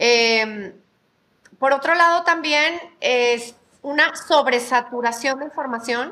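Projecting a raised voice, a woman speaks with a bright, sharp tone and high pitch with ordinary variation. Her pace is very slow, broken by long, frequent pauses. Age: 50s. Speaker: mother of a podcast host. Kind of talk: casual chat. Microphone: hears own voice echoing.

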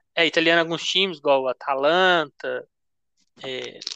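Bright, sharp tone with fairly even intonation, dry and close with no echo, over a quiet background. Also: man. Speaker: podcast host, amateur sports trader. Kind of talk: casual chat.

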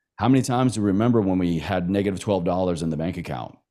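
Dark and mellow in tone, a man with an American accent comes through in a very clean recording with a silent background. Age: 30s. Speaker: podcast host and coach. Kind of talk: interview conversation.

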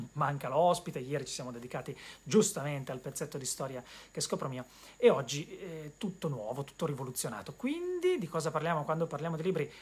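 Pitch varies in an ordinary way in this somewhat breathy voice, which moves fairly quickly. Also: man, fairly high pitch for a man. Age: 40s. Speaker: bookseller and web show host. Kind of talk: solo live-stream monologue about books. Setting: bookshop, live web stream. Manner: hesitant with repetitions.

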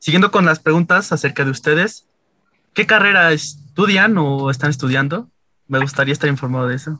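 A man's fairly high voice with a bright, sharp tone and ordinary pitch variation. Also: fairly quick pace. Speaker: communication student interviewer. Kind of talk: interview.

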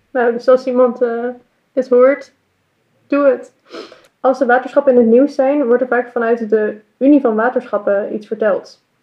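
A woman's high-pitched voice comes out in a monotone with flat intonation. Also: moderate pace. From Utrecht, Netherlands. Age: 20s. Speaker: podcast host and party candidate. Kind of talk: casual interview. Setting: recording at city hall.

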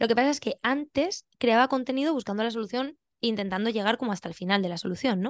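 A woman talks at a very fast pace with fairly high pitch and ordinary pitch variation. The sound is dry and close with no echo, against a quiet background. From Spain, Valencia region (Benidorm). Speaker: pilates teacher and physiotherapist. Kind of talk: interview.

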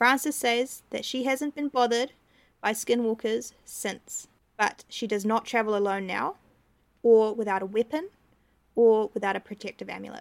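Moderate-paced speech from a woman, her pitch varying in an ordinary way. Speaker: podcast co-host. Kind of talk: storytelling narration; casual chat. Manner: dramatic story voice.

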